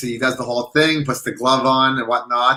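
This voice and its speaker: A man speaks at a moderate pace with medium pitch. He has an unremarkable speaking voice. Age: 40s. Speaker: livestream co-host. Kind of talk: casual chat. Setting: live stream.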